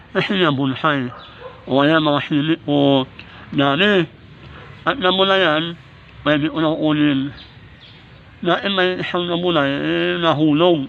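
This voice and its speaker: Fairly slow, fairly even speech broken by long, frequent pauses, over noticeable background noise. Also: man, fairly high pitch for a man, very even loudness. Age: 60s. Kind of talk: casual vlog talk to camera.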